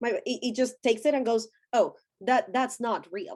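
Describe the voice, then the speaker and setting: With lively intonation, a woman talks in a high-pitched voice. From Colombia. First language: Spanish. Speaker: deconstruction thought-leader. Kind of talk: interview.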